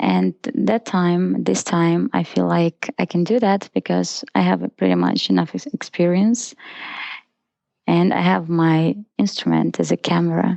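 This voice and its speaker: Her loudness stays very even as the woman talks at a fairly slow pace. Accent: Russian. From Russia (Izhevsk). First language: Russian. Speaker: photographer. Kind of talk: interview.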